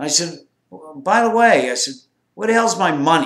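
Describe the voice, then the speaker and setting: A man uses a plain, everyday voice and keeps to a moderate speed. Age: 60s. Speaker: former drug smuggler. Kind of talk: casual storytelling to camera.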